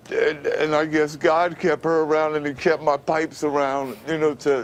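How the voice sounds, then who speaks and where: Moderately paced speech with noticeable background noise. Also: man. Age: 50s. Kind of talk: interview answer.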